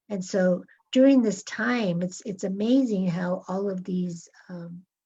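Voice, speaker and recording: Somewhat breathy, a woman speaks at a fairly slow pace and a medium pitch, her tone dark and mellow, with ordinary pitch variation. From Los Angeles, US. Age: 60s. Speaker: author. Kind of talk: interview talk.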